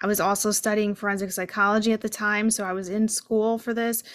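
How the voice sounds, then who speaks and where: Speaking with an American accent, a woman has a normal speaking voice and a fairly high pitch. She keeps a moderate pace on a very clean recording with a silent background. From New Jersey. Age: 30s. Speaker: author and mental health advocate. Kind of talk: interview.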